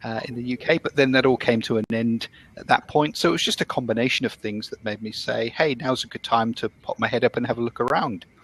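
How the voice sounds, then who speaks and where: A very fast British accent delivered with fairly even intonation, in a dry, close sound with no echo. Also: man, medium pitch for a man. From UK. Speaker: business analyst, immigrant. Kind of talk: casual chat. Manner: hesitant, many fillers.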